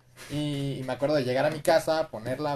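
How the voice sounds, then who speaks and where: Somewhat breathy, the voice moves at a fairly quick pace. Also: man. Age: 20s. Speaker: tattoo artist. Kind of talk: casual chat.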